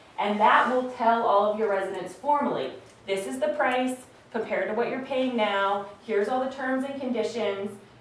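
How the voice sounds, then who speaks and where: A woman's voice sits fairly high, with ordinary pitch variation. Audible room echo and noticeable background noise surround it. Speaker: energy program presenter. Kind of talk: presentation to village board. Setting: board meeting. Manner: fast.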